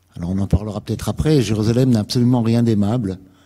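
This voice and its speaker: This man has a fairly low pitch, a dark, mellow tone, and ordinary pitch variation. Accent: slight Alsatian. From France, Alsace (Strasbourg). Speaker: activist, invited speaker. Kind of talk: public lecture. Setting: lecture hall with audience. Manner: hesitant, many filler sounds.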